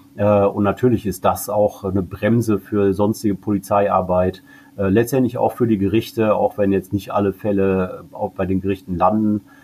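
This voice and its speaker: Low-pitched for a man, this speaker has a dark, mellow tone and a monotone, flat intonation at a moderate pace. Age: 40s. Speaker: cannabis advocacy group director. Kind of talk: interview.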